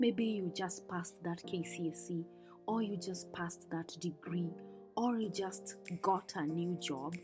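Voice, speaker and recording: Over music in the background, a woman with a fairly low voice speaks at a fairly slow pace in a calm tone with fairly even intonation. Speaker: lifestyle vlogger. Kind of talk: voice-over reflection. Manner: calm, soft-spoken.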